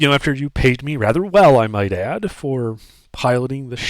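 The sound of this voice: An unforced reading voice is heard in this clip.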